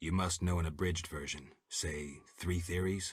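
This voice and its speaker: In a put-on character voice pitched very deep and low, a man talks at a moderate speed. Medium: video game. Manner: terse, dry.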